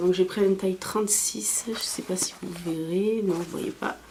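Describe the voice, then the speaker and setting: Noticeable background noise can be heard. The talking proceeds at a moderate pace. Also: woman. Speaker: beauty and fashion vlogger. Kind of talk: haul video, casual talk to camera. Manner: hesitant, many fillers.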